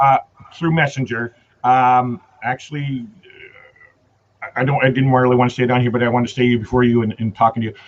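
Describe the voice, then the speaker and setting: A man with a western Canadian accent at medium pitch, monotone and flat, at a very fast pace broken by long, frequent pauses. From Canada. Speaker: travel vlogger. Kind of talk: casual chat.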